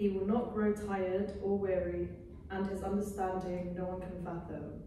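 A woman at a moderate pace, with light background noise and strong room echo. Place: home room. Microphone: camera far.

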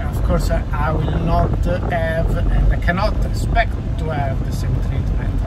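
There is loud background noise behind this recording. Over it, a man talks at a fairly slow pace. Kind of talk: casual vlog chat. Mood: cheerful, a bit wistful. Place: car. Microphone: phone near.

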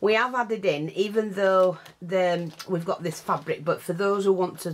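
Her pitch shows ordinary variation. The woman speaks at a fairly slow pace. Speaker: craft seller. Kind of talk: tutorial. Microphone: camera far.

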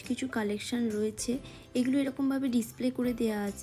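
Faint music plays behind a woman whose intonation stays fairly even. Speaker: vlogger. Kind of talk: casual vlog chat. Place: shop. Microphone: phone near.

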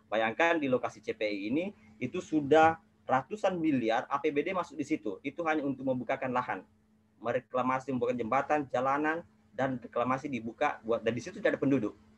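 This man's pitch is fairly high, with ordinary variation. He speaks at a fairly quick pace. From South Sulawesi, Indonesia. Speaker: legislative watchdog activist; webinar panelist. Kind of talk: webinar presentation; panel talk. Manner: halting, many fillers. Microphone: earbuds.

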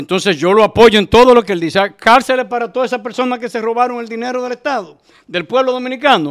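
A man talks fairly quickly, the background quiet behind him. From Dominican Republic. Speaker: doctor and political candidate; candidate. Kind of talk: interview. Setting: studio. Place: studio. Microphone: studio mic.

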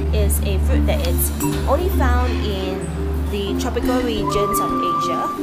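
A woman speaks at a fairly slow pace. Loud music plays in the background. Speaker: food vlogger. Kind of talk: casual vlog chat. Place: cafe. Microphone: phone near.

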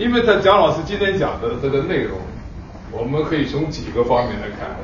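A man's voice swings very widely in pitch, with audible room echo and light background noise. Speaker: professor. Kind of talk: moderating a lecture. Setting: stage with audience. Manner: halting. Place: hall.

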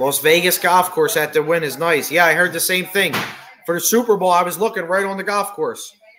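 Noticeable background noise sits behind a man with a high pitch. He talks at a fairly quick pace. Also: ordinary pitch variation. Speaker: livestream host. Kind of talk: casual livestream chat, reading comments. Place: home room. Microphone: webcam.

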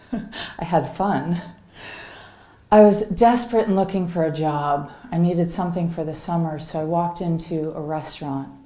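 Recorded with audible room echo, a woman speaks at a fairly slow pace in a fairly low pitch with ordinary pitch variation. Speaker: keynote speaker. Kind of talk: storytelling keynote talk. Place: hall. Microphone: headset.

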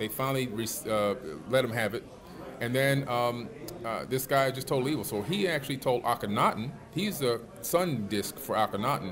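Noticeable background noise sits under a man speaking at medium pitch and a moderate pace with ordinary pitch variation. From Miami, Florida, US. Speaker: author and alternative history researcher; interview guest. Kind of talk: interview. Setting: at a conference.

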